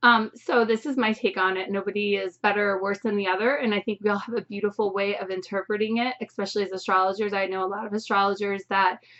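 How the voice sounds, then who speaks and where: A woman's medium-pitched voice at a very fast pace, monotone and flat, with hardly any pauses and noticeable background noise. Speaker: astrologer. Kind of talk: astrology forecast monologue. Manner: casual, chatty.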